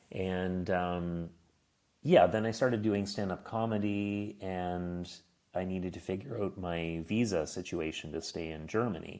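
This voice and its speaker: A man with a Maritime Canadian accent talks at a fairly slow pace in a very deep, low voice with fairly even intonation. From Nova Scotia, Canada. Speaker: stand-up comedian, former diplomat. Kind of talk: casual interview chat.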